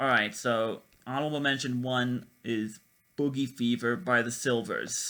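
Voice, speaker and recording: With a bright, sharp tone and a medium pitch, a man speaks fairly slowly with fairly even intonation. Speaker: music list video creator. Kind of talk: unscripted music commentary. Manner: stammering, halting.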